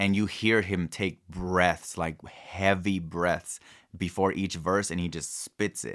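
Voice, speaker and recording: Very slow and very deep in pitch, a man with an American accent speaks with fairly even intonation on a very clean recording with a silent background. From Kansas City, US Midwest, with summers in Mexico. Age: 30s. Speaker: artist and clothing brand owner. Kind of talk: casual interview chat.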